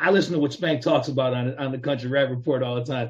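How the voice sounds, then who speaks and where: Somewhat breathy and fairly high-pitched, a man talks at a very fast pace. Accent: American. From Chicago area, US Midwest. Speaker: rapper. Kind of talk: casual interview.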